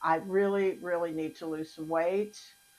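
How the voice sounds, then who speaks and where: At a fairly slow pace, a woman speaks with fairly even intonation and a fairly low pitch. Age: 60s. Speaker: vlogger documenting weight loss. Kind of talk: personal video diary. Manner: conversational, with fillers.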